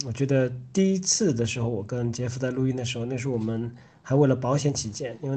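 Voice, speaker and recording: With a dark, mellow tone, this man's voice rests at a medium pitch. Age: 30s. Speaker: podcast co-host. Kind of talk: casual chat.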